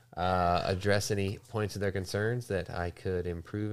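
Speaking at a moderate pace, a man with a fairly low pitch has a normal speaking voice on a very clean recording with a silent background. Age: 30s. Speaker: podcast host. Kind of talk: casual chat.

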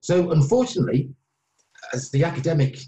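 A man's somewhat breathy voice at a moderate pace. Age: 40s. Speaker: author and former addict. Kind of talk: interview testimony. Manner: halting.

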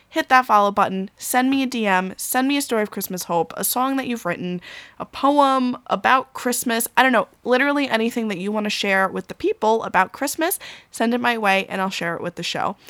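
A woman with a normal speaking voice talks at a fairly quick pace, her pitch fairly high with ordinary variation, on a very clean recording with a silent background and a dry, close sound with no echo. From Long Island, New York. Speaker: podcast host. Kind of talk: solo podcast monologue. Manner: casual, conversational.

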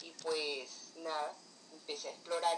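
Over noticeable background noise, a woman with a fairly low voice speaks at a very slow pace. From Colombia. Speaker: writer and cultural promoter. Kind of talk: interview conversation.

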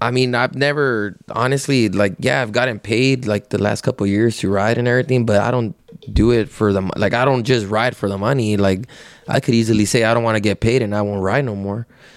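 Speaking at a fairly quick pace, a man with an American accent and a plain, everyday voice keeps a medium pitch and fairly even intonation. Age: 30s. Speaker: rodeo rider. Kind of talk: casual chat. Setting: at his home.

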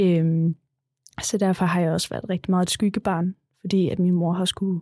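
This woman's voice has a dark, mellow tone. Her intonation stays flat and monotone. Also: dry, close sound with no echo, very clean recording, silent background. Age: 20s. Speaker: special school worker. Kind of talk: interview. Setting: studio.

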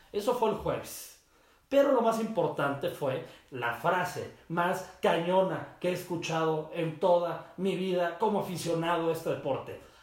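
A man's high-pitched, animated voice at a fairly slow pace, with ordinary pitch variation and audible room echo. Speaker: sports podcast host. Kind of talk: casual solo sports talk. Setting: his mother's office.

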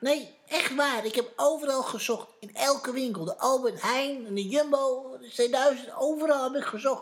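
This female-sounding voice is a put-on character voice. It sits high in pitch for a woman. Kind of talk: children's musical audio drama.

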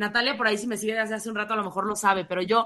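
Against a quiet background, a woman with a bright, sharp tone speaks at a fairly high pitch with fairly even intonation. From Mexico. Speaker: radio host and social media influencer. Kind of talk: interview.

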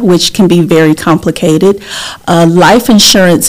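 Through noticeable background noise, a woman with a Southern US accent speaks with fairly even intonation. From US South. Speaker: insurance agent and community advocate. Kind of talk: casual interview.

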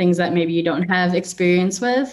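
A plain, everyday voice with an American accent, at a moderate pace. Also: woman. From Chicago suburbs, US Midwest. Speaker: clothing brand founder. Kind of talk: casual interview.

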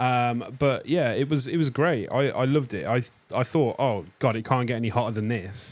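A man with an English accent speaks at a moderate pace and medium pitch, his pitch varying in an ordinary way. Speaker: music podcast co-host. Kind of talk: casual chat. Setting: studio.

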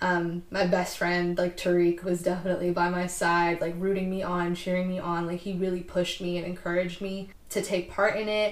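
With an American accent, a woman talks at a fairly quick pace in monotone, flat intonation with hardly any pauses. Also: fairly low pitch for a woman. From US West Coast, East Bay California. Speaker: DJ and artist. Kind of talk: casual interview.

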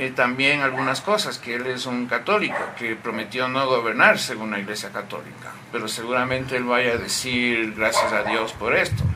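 Noticeable background noise and audible room echo accompany this man's speech. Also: medium pitch for a man, ordinary pitch variation, moderate pace. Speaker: newspaper editor. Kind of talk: casual chat. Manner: calm, soothing.

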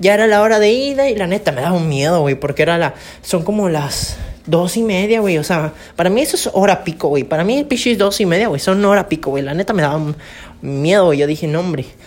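Talking at a very fast pace, a woman uses a fairly low pitch and lively intonation. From Campeche, Mexico. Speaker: podcaster. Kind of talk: casual storytelling monologue. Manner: casual, slangy.

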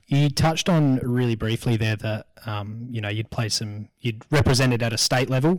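Speaking with an Australian accent, a man keeps his intonation fairly even. His pace is moderate. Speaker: podcast co-host. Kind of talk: casual interview chat.

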